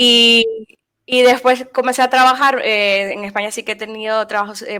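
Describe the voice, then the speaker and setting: A woman's bright, sharp tone at a moderate pace. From Nicaragua. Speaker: frontend developer. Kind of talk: interview. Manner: hesitant, many fillers.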